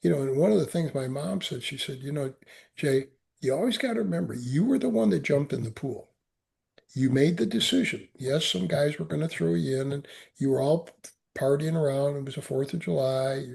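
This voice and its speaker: A man with an American accent, fairly high in pitch and somewhat breathy, with lively intonation at a fairly quick pace over a quiet background. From US Midwest. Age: 70s. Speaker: Marine veteran and author. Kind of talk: interview testimony. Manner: halting, repeats words.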